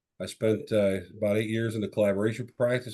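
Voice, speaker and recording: Against a quiet background, a man with an American accent talks very fast in a dark, mellow, fairly low voice with monotone, flat intonation. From Chicago area, US Midwest. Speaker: tech sales executive. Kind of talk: podcast interview.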